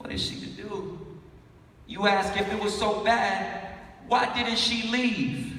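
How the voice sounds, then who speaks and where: Over noticeable background noise, a high-pitched man speaks very slowly in a raised, projected voice with ordinary pitch variation. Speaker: spoken word artist. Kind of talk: live spoken word poetry performance. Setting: live conference stage.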